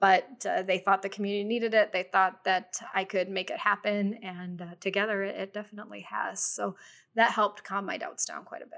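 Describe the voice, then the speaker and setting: In a normal speaking voice, a woman talks at a fairly quick pace with medium pitch and fairly even intonation, her loudness swinging widely. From US Midwest, Cleveland suburbs, Ohio. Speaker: business journalist and media owner. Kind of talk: interview.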